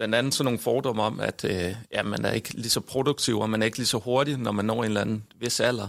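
At a very fast pace with hardly any pauses, a man talks at medium pitch, his loudness very even and his intonation fairly even. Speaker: professor, researcher. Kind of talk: discussion.

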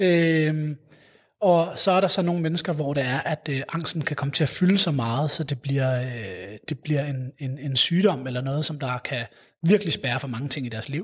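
With a fairly high pitch, a man speaks in a somewhat breathy voice. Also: ordinary pitch variation, moderate pace. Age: 30s. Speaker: psychologist at a mental health charity. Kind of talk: interview. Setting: city hall room. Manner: halting, many fillers and repetitions.

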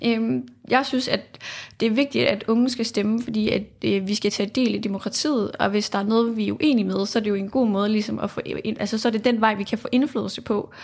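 Somewhat breathy, a woman's fairly high voice moves with ordinary pitch variation. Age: 20s. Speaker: political science student, youth panel member. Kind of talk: interview. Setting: studio.

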